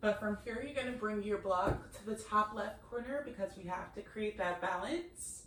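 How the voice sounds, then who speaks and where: Using a calm tone, a woman speaks at a fairly slow pace and a fairly high pitch, with ordinary pitch variation. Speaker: yoga instructor. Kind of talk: guided yoga class instruction. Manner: quieter, lowered voice as practice slowed; instructional, calm pacing.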